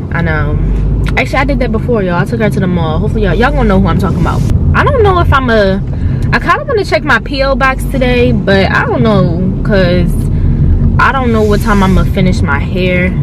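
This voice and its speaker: A woman's very fast speech, dry with no echo, over loud background noise. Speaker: vlogger. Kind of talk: casual vlog chat. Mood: chatty, a bit nervous. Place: car. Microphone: phone near.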